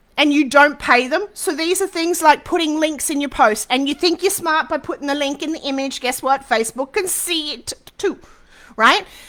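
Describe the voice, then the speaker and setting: Her raised, projected voice is animated, bright and sharp, with a high pitch and lively intonation as the woman speaks. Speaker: social media business coach. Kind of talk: live webinar masterclass. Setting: Facebook live stream. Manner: fast.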